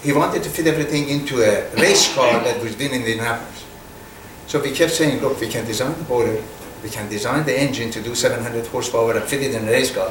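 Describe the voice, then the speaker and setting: A man with a Persian accent speaks very fast at a medium pitch with ordinary pitch variation amid noticeable background noise. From Iran. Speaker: business executive. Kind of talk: fireside chat interview. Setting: stage with audience.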